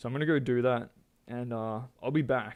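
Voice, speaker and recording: The background stays quiet while a man talks, his pitch varying in an ordinary way. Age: 30s. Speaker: video game streamer. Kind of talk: casual livestream chat. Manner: casual, halting with many fillers.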